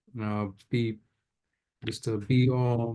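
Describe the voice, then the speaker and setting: This man has a dark, mellow tone. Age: 30s. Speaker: political cartoonist. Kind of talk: casual chat. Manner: halting.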